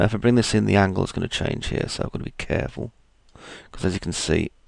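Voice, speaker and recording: This man speaks with vocal fry. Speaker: 3D modelling tutor. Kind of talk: software tutorial. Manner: casual thinking aloud.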